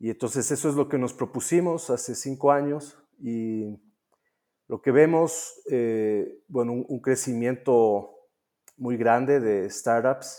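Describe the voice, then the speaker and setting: Over a silent background in a very clean recording, a man speaks very slowly with a dark, mellow tone. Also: medium pitch for a man, ordinary pitch variation. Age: 40s. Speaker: venture capitalist. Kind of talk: interview. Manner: halting, many fillers.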